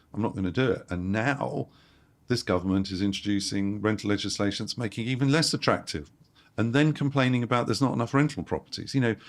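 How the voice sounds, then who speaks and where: A man with a London accent at a medium pitch, talking very fast with ordinary pitch variation, on a very clean recording with a silent background. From London, England. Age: 60s. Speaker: property investor. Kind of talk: interview. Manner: animated.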